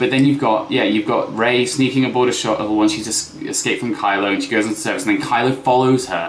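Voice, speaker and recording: A man moves through his words at a fairly quick pace, with noticeable noise in the background. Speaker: musician. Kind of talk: casual talk to camera. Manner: casual, opinionated.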